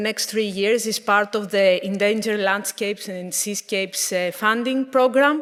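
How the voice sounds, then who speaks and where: A woman with a Greek accent, fairly high in pitch, with fairly even intonation. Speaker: conservation project manager. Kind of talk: conference presentation. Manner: careful, deliberate.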